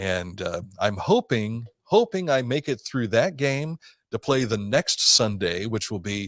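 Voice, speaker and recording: A medium-pitched man with an Ohio accent, fairly slow and lively in intonation, the sound dry and close with no echo. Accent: Midwestern American (Ohio). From southern Ohio. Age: 60s. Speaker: radio host. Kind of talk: casual interview chat.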